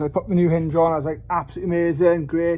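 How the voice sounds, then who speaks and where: With a Welsh accent, a man mumbles at a high pitch for a man over noticeable background noise. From Wales. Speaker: car enthusiast doing repairs. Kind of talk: casual talk to camera, repair vlog. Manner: mumbling.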